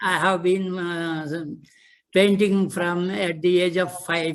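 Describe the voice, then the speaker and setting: Very slowly, a man speaks at a high pitch with monotone, flat intonation. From India. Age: 70s. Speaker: artist. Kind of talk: artist introduction. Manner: halting.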